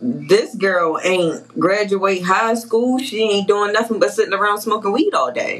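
A woman talks at a fairly slow pace with hardly any pauses and ordinary pitch variation. Noticeable background noise runs behind her. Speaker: podcast host. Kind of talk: casual chat.

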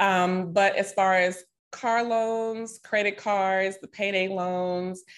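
In a Southern US accent, a woman speaks very slowly with monotone, flat intonation. The background is quiet. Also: medium pitch for a woman. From Nashville, Tennessee. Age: 30s. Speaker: financial coach and yoga teacher. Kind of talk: interview.

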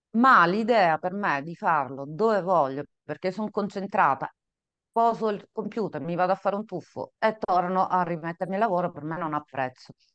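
In an ordinary speaking voice, a woman talks at a moderate pace and medium pitch with ordinary pitch variation, the sound dry and close with no echo. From Sicily, Italy. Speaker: consultant, coach and podcast co-host. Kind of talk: casual interview answers. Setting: video call from office.

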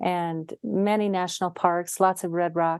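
A woman's fairly low, monotone voice with flat intonation and an American accent, dry and close with no echo. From Utah. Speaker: mediator and Zen teacher. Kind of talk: interview.

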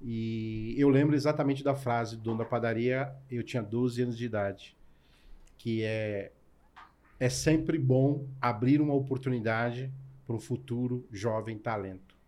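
This man has a plain, everyday voice at a medium pitch. He talks fairly slowly with fairly even intonation. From São Paulo, Brazil. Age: 40s. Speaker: chef. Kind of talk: casual interview chat.

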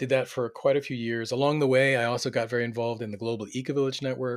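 The delivery is very fast. An American accent is heard. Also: man. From US Mid-Atlantic (Delaware suburbs). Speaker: community organization director. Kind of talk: interview.

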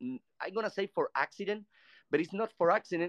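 A man speaks with a Cuban accent against a quiet background. The sound is dry and close, with no echo. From Cuba, Havana. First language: Spanish. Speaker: photographer. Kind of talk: casual chat. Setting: live audio chat room.

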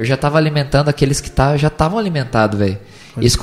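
A man rattles along at a very fast pace in a fairly high voice with ordinary pitch variation. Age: 20s. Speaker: preacher and evangelist. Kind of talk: casual chat. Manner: animated.

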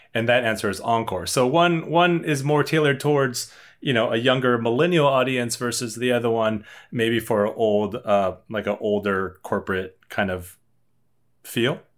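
With a plain, everyday voice, a man talks at a moderate pace in a medium pitch with ordinary pitch variation. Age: 30s. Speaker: bar trivia host. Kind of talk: casual chat.

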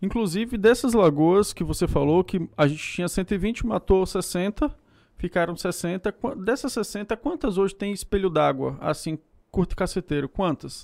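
On a very clean recording with a silent background, a man's high voice sounds dry and close, with no echo. He talks at a fairly slow pace with lively intonation. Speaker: podcast co-host. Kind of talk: casual chat.

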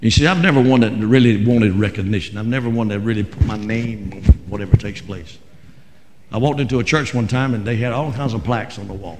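A man with a North Carolina accent talks at a very fast pace, with big swings in loudness. His pitch is medium with ordinary variation, and there is audible room echo. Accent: Southern US (North Carolina). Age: 60s. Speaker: Pentecostal pastor. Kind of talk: fiery Pentecostal Sunday sermon, congregational call-and-response. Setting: church. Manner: impassioned, emphatic preaching with repeated phrases; folksy, halting with frequent 'uh' restarts.

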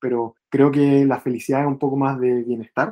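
With a Chilean accent, a man talks in a fairly high pitch, his tone dark and mellow and his intonation flat and monotone. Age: 20s. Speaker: bootcamp student. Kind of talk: interview. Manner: halting.

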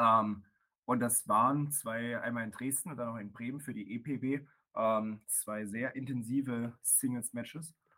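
This man talks at a fairly slow pace. His tone is bright and sharp. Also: medium pitch for a man, fairly even intonation. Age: 20s. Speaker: professional wrestler. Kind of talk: casual chat. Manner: hesitant, many filler sounds.

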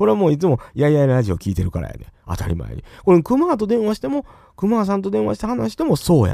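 With a Kansai accent, a man speaks at a very fast pace. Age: 40s. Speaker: podcast host. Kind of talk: casual livestream chat. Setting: solo livestream.

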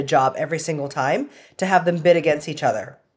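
A woman's unremarkable speaking voice with a Canadian accent, fairly low in pitch, with ordinary pitch variation and a fairly quick pace. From Canada. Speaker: real estate investor. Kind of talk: interview.

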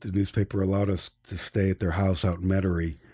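In a very clean recording with a silent background, a man with an American accent speaks in a somewhat breathy voice with a dark, mellow tone. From upstate New York. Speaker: photojournalist. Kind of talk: interview.

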